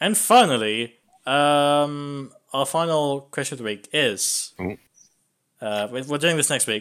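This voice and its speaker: At a very slow pace, a man with an English accent speaks in a fairly high pitch with ordinary pitch variation, on a very clean recording with a silent background. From England. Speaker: podcast host. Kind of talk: casual chat.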